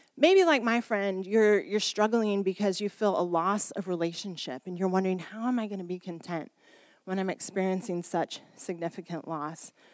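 A woman's plain, everyday voice at medium pitch, with ordinary pitch variation and a moderate pace. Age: 40s. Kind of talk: sermon. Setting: church service. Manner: informal, warm, humorous.

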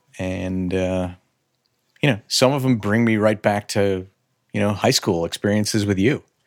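A man with a Chicago-area accent at a fairly low pitch, moderate pace and ordinary pitch variation, with long, frequent pauses, in a very clean recording over a silent background. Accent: Chicago-area Midwestern American. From US Midwest, north suburbs of Chicago. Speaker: business owner. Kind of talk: casual chat.

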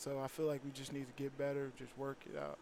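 A man with an American accent at a fairly high pitch and a very fast pace. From Chicago, US Midwest. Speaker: college football player. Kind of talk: interview. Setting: media day event.

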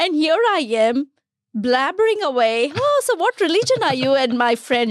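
The voice shows very wide pitch swings at a moderate pace. The sound is dry and close, with no echo. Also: woman. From India, Gujarat. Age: 30s. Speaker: community volunteer. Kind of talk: interview. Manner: animated.

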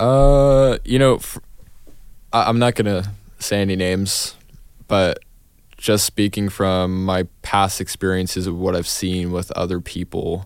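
A man talks at a slow pace in a low voice, with a clear, smooth tone and fairly even intonation.

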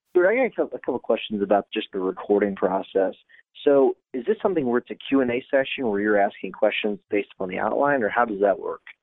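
The delivery is very fast. The intonation is lively. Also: man, medium pitch for a man. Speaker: lawyer and podcast co-host. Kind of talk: interview.

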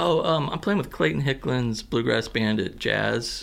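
This man has a plain, everyday voice with an American accent and a medium pitch. He speaks at a moderate pace with lively intonation. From southern Missouri. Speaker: musician. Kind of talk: radio interview.

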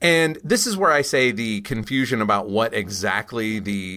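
A man with a normal speaking voice talks at a fairly slow pace in a medium pitch. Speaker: podcast host and comics expert. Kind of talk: casual podcast discussion.

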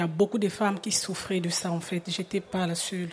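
A moderately paced woman's voice. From Republic of the Congo. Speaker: choreographer and dancer. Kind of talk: live radio panel discussion. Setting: live public broadcast at tables.

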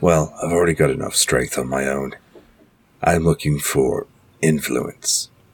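An extremely low-pitched put-on character voice from a man, with a slightly husky edge and a fairly slow pace. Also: fairly even intonation.

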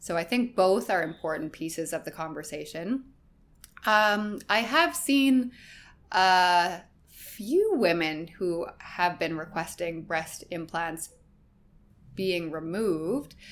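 A woman with a Canadian accent and a fairly low pitch, very slow pace, long and frequent pauses and ordinary pitch movement, on a very clean recording with a silent background. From Canadian prairies. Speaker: plastic surgeon. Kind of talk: interview.

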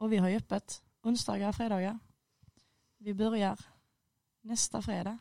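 The delivery moves at a moderate pace with monotone, flat intonation. Long, frequent pauses run throughout. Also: woman, fairly high pitch for a woman. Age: 20s. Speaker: student. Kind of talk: casual chat. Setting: studio.

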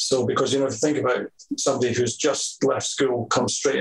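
A man in a Scottish accent amid noticeable background noise. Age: 50s. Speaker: hairdresser and salon owner. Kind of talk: interview. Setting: video call.

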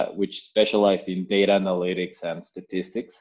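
A man's voice with a Spanish accent. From Mexico. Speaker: health tech startup founder. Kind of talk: interview. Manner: hesitant, many fillers.

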